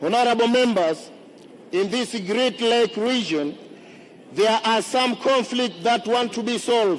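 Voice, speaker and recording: Amid noticeable background noise, a man with an extremely high pitch talks at a fairly slow pace with ordinary pitch variation. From Zanzibar, Tanzania. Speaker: member of parliament, candidate. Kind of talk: campaign speech in parliament. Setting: parliament chamber. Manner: formal.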